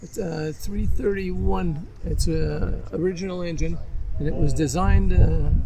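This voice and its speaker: Over noticeable background noise and audible room echo, a man talks at a fairly slow pace with big swings in loudness. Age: 80s+. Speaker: classic car owner. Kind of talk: casual interview. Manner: halting.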